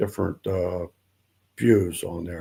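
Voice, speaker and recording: Somewhat breathy and dark, mellow in tone, a man speaks at a fairly slow pace with fairly even intonation on a very clean recording with a silent background. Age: 80s+. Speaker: author. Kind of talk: interview. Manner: halting, many fillers.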